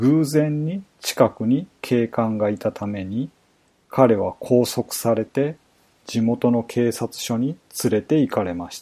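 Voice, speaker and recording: Recorded very cleanly with a silent background, a man speaks very slowly in a medium pitch with a dark, mellow tone, ordinary pitch variation and big swings in loudness. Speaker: true crime podcaster. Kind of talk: scripted narration. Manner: formal.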